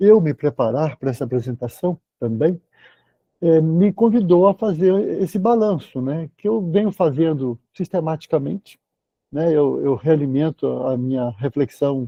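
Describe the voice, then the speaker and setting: This man talks at a fairly slow pace in a fairly high pitch. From Brazil, Belo Horizonte (Minas Gerais). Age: 60s. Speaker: surgeon, lecturer. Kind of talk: lecture. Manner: halting, with many repetitions.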